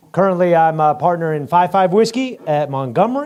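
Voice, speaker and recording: A man speaks in an animated tone. He keeps a moderate pace. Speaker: flying club member, board candidate. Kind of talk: campaign speech. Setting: club meeting hall, also streamed on video call.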